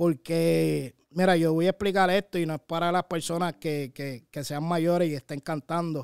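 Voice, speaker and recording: The speaker keeps a moderate pace with fairly even intonation and hardly any pauses against a quiet background. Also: man, high pitch for a man, dry sound with no echo. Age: 30s. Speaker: radio show co-host and content creator; radio show co-host, content creator. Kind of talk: interview. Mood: relaxed, reflective storytelling. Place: studio. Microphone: studio mic.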